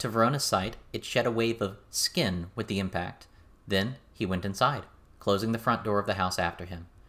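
The speaker reads aloud in a natural reading voice.

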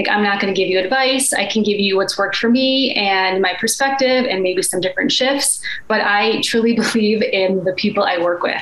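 Over noticeable background noise, a woman talks at a fairly quick pace with hardly any pauses, very even loudness, a medium pitch and ordinary pitch variation. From Chicago, US Midwest. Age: 30s. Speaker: life and energy coach. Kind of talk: casual interview chat.

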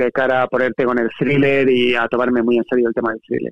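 A man talks at a fairly quick pace in a medium pitch, his intonation flat and monotone. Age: 40s. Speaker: writer. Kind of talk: casual chat.

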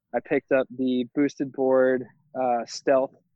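A man with an American accent talks at a moderate pace, his pitch in the medium range. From California (Santa Cruz). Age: 20s. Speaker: former college swimmer. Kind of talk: casual interview.

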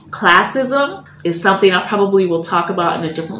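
Audible room echo and noticeable background noise accompany a woman's voice. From United States. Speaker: podcast host and business owner. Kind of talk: casual monologue. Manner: animated.

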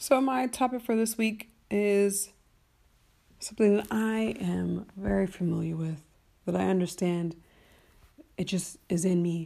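On a very clean recording with a silent background, a woman at medium pitch speaks fairly slowly with ordinary pitch variation and long, frequent pauses. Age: 30s. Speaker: solo podcast host. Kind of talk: casual solo monologue. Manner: rambling with many fillers.

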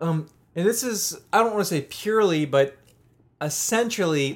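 A man with a plain, everyday voice and an American accent speaks at a fairly slow pace with lively intonation, on a very clean recording with a silent background. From US, Pittsburgh. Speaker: podcast co-host, music and beer reviewer. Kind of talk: casual chat.

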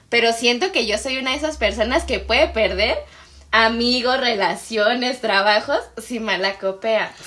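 A woman with a Mexican accent speaks at a fairly slow pace in a bright, sharp tone, her fairly high pitch showing ordinary variation. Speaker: podcast co-host. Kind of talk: casual chat.

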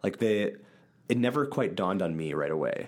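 Someone with an American accent talks at a fairly quick pace in a very clean recording with a silent background. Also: man. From central Wisconsin. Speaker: church podcast co-host. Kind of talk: casual Bible discussion.

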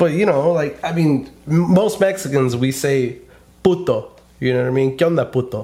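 Using an American accent, a man with a fairly high pitch and a dark, mellow, somewhat breathy tone speaks at a moderate pace with ordinary pitch variation. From California. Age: 30s. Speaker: podcast host. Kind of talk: casual chat. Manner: animated.

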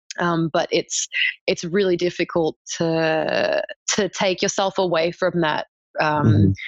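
A woman in an Australian accent at a fairly slow pace, very even in loudness, with a dry, close sound and no echo. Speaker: archaeology PhD student. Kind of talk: interview. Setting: remote call.

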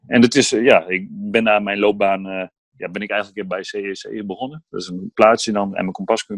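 The man has a normal speaking voice. His pitch is fairly low and his pace is moderate. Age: 30s. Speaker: entrepreneur, former footballer. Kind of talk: interview. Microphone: laptop instead of phone, sound may differ.

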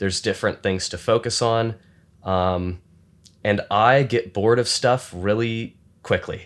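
A man with an American accent and an ordinary speaking voice talks at a fairly slow pace, with a medium pitch and fairly even intonation. His loudness stays very even in a very clean recording with a silent background. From Michigan. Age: 20s. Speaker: filmmaker. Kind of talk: casual interview.

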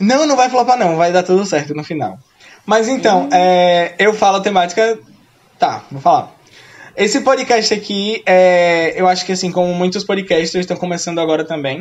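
A man with a high voice and ordinary pitch variation talks at a moderate speed. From Brazil, Sergipe. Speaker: podcast co-host, school English teacher. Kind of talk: casual chat.

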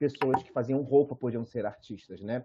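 This is a man talking. He has a Carioca accent. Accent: carioca Brazilian Portuguese. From Rio de Janeiro, Praça Seca. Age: 30s. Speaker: fashion designer and visual artist. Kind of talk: guest lecture talk.

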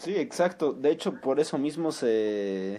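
A man speaks at a fairly slow pace in a fairly high voice with a dark, mellow tone. His pitch swings very widely. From Mexico. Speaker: podcast co-host. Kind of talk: casual chat.

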